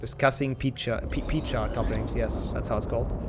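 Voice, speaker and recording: With a German accent, a man of medium pitch talks at a fairly quick pace and keeps his intonation fairly even. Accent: German accent, improved but still noticeable. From Germany. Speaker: speedrun streamer. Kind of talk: casual chat. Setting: live stream. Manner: halting.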